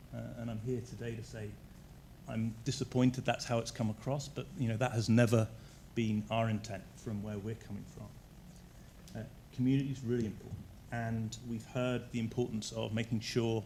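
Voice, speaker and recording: A man with a southern English accent, medium pitch, dark and mellow tone, somewhat breathy, flat monotone delivery at a moderate pace, and audible room echo. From southern England. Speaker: energy utility executive. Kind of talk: presentation to council. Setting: council chambers.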